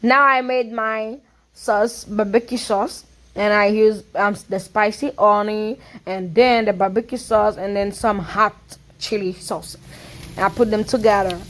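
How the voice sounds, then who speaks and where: In a Haitian accent, a woman speaks fairly slowly at a fairly high pitch. Her intonation is fairly even. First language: Haitian Creole. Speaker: cooking vlogger. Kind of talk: casual cooking tutorial voiceover. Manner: halting, with fillers.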